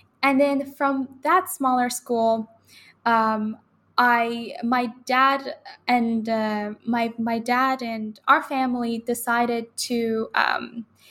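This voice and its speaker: In a Persian accent, a woman speaks with a high pitch and fairly even intonation on a very clean recording with a silent background. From Iran, Tehran. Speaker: university student. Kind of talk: interview conversation. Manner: halting.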